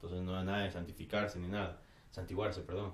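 Audible room echo surrounds a man's very deep, low, somewhat breathy voice. He talks at a fairly quick pace with fairly even intonation. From Ecuador. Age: 30s. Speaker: hardcore band vocalist. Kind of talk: casual chat.

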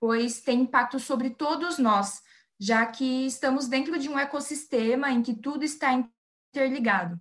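On a very clean recording with a silent background, a woman with a high pitch speaks at a moderate pace with ordinary pitch variation. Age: 20s. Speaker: environmental engineer. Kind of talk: interview.

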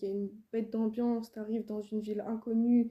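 A woman talks at a fairly quick pace in a dark, mellow tone. Her pitch is fairly high, with monotone, flat intonation. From France, Île-de-France. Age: 20s. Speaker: rapper. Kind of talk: casual interview chat.

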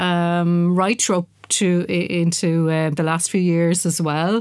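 In an Irish accent, a woman speaks at a very slow pace with a medium pitch. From Ireland, Wexford. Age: 50s. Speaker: dance artist and lecturer. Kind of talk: interview. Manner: hesitant, many fillers and repetitions.

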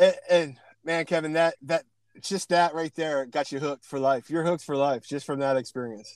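A man with an American accent and an unremarkable speaking voice, fairly high in pitch, with fairly even intonation, a moderate pace, and a dry, close sound with no echo. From Pennsylvania. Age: 40s. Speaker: podcast host. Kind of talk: casual interview chat. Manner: casual, chatty.

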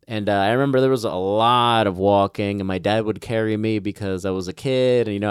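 Over a very clean recording with a silent background, a man with an American accent and a plain, everyday voice speaks at a fairly quick pace, fairly low in pitch with fairly even intonation. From Guatemala, then United States from about age six. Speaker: immigrant sharing his life story. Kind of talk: casual interview. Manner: relaxed, informal.

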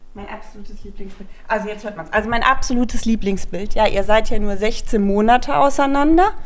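A woman speaks at a fairly quick pace and fairly high pitch, with big swings in loudness. There is noticeable background noise and audible room echo. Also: ordinary pitch variation. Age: 40s. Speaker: podcast co-host, mother of eight. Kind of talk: casual chat.

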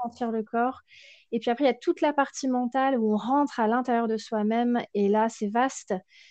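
A woman speaks with a high pitch and a dark, mellow tone over a quiet background. Her pace is fairly quick and her intonation fairly even. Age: 30s. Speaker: sophrologist and Ayurveda practitioner. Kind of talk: interview. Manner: halting.

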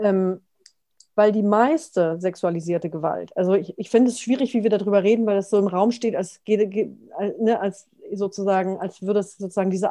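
The voice has a dark, mellow tone. Its intonation is fairly even and its pace moderate. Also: woman. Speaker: prison abolitionist author. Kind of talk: panel discussion.

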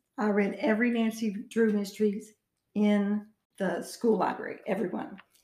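A woman with an Arkansas accent speaks in a somewhat breathy, fairly high-pitched voice. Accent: Southern US (Arkansas). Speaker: author and retired teacher. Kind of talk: interview.

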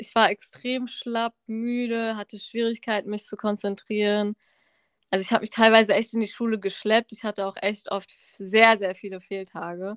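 The voice is monotone and flat, with big swings in loudness, in a very clean recording with a silent background and a dry, close sound with no echo. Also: woman, fairly high pitch for a woman, moderate pace. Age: 20s. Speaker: medical student and cancer survivor. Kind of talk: personal testimony in casual interview.

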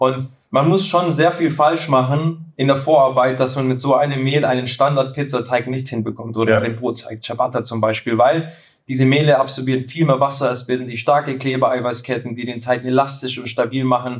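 This man has a plain, everyday voice at a medium pitch, talking at a fairly quick pace with fairly even intonation. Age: 30s. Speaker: pizza baking content creator. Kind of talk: casual chat. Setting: studio couch, recording together. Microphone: poor sound quality in first episode.

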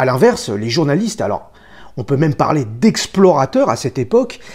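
In a very clean recording with a silent background, a man speaks at a fairly high pitch with a somewhat breathy sound. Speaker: tattoo artist. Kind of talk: scripted narration.

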